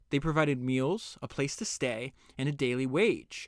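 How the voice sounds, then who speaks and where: This is a plain, everyday voice. A man speaks at a fairly high pitch. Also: very clean recording, silent background. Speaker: podcast host summarizing books. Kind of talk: book summary with read-aloud excerpts and commentary. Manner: casual, conversational with filler words.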